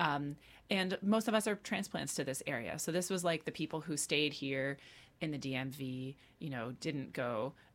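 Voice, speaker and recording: A woman with a very deep, low pitch, lively intonation and a moderate pace, on a very clean recording with a silent background. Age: 30s. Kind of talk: radio interview. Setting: radio studio.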